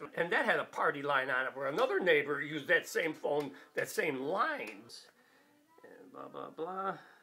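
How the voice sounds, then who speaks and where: Over noticeable background noise, a man with an American accent speaks at a moderate pace, his pitch swinging very widely. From Chicago, Garfield Park. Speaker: elderly man telling his life memories. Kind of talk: personal reminiscence.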